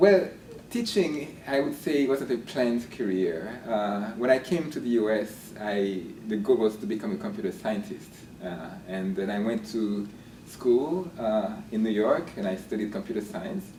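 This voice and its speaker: A man with a Haitian accent speaks at a moderate pace and medium pitch, his intonation lively, with audible room echo and noticeable background noise. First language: Haitian Creole. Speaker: linguistics professor. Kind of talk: interview. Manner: hesitant with fillers and repeats.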